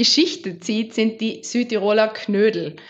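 Speaking fairly slowly, a woman uses a normal speaking voice pitched fairly high. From South Tyrol, Meran area. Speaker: holistic body therapist. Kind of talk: casual interview.

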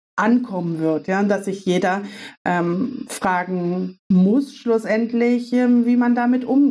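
A woman's medium-pitched voice at a very slow pace with ordinary pitch variation. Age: 30s. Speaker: business consultant. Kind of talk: casual interview. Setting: video call.

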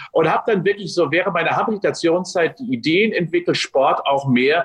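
With noticeable background noise behind him, a man with a high pitch speaks in an energetic tone at a moderate pace. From Westphalia, Germany (Unna). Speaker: sports science professor. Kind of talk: interview. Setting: video call.

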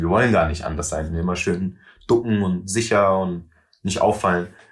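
A man's somewhat breathy, very deep, low voice at a moderate pace, fairly even in intonation, over a quiet background. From Germany, Wiesbaden. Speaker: rapper. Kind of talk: interview conversation. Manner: mixes German with English phrases.

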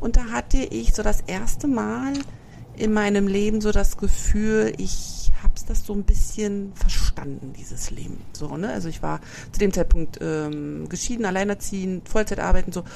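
Amid noticeable background noise, a woman speaks at a moderate pace with big swings in loudness. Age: 40s. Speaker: podcast host. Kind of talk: casual chat.

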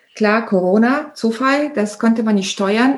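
Here a woman talks with a somewhat breathy voice. Her pitch sits fairly high. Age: 40s. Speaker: entrepreneur. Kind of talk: interview.

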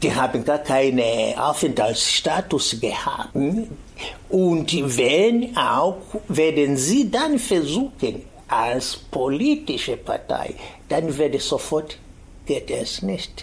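Someone with an East African accent speaks at a very slow pace against noticeable background noise. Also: man. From Tanzania, Kilimanjaro region. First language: Swahili (speaking German). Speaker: activist and teacher. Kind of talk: interview.

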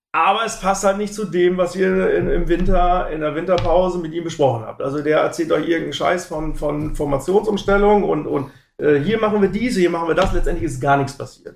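Speaking at a fairly quick pace with hardly any pauses, a high-pitched man shows ordinary pitch variation. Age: 40s. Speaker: football fan, forum member. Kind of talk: casual chat.

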